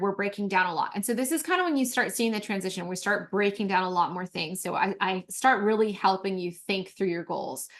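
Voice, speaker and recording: A woman's medium-pitched voice at a fairly quick pace, over a quiet background. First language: not English. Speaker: mentorship coach. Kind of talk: course overview presentation. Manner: animated; halting.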